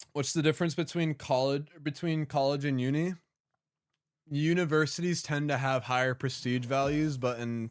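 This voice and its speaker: A man speaks at a moderate pace with fairly even intonation and a fairly high pitch, recorded very cleanly against a silent background. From New Jersey, moved away. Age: 20s. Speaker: video game streamer. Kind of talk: casual live-stream chat with gameplay.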